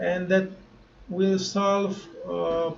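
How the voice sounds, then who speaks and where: A man speaks at a very slow pace with a non-native accent. The room echo is audible. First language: not English. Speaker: crypto YouTuber. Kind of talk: tutorial. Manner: halting, many fillers.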